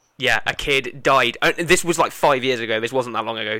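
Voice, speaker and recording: A man talks at a moderate pace with an English accent. His medium-pitched voice has a bright, sharp tone and ordinary pitch variation. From England. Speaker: podcast host. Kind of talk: casual chat.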